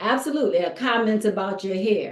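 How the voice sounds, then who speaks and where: A woman talks at a moderate pace with an American accent, medium pitch and ordinary pitch variation. Audible room echo is present. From US South, Louisiana. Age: 50s. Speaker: women's course teacher and public speaker. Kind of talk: online course lecture, live. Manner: animated.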